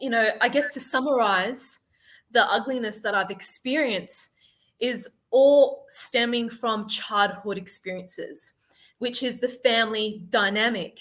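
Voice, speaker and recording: With an Australian accent, this speaker's pitch moves about as much as usual. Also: woman, fairly high pitch for a woman, fairly slow pace. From Sydney, Australia. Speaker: life confidence coach. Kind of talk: podcast interview.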